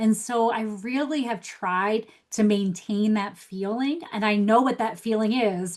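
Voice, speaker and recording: A woman talks at a fairly slow pace with hardly any pauses. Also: fairly high pitch for a woman, ordinary pitch variation. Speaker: life coach. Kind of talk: podcast interview.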